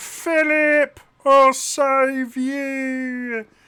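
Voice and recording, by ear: In a put-on character voice with a Cockney accent, the speaker talks at a high pitch with monotone, flat intonation.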